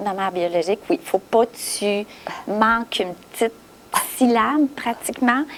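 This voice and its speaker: A woman talks at a fairly high pitch. Noticeable background noise can be heard. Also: ordinary pitch variation, moderate pace, big swings in loudness. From Quebec, Gaspésie. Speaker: adoptee who found birth family. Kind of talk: interview testimony. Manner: halting.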